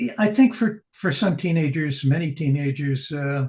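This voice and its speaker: A somewhat breathy man with ordinary pitch variation. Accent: American. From New York City (the Bronx). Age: 80s+. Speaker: poet and novelist. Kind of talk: interview conversation. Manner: halting.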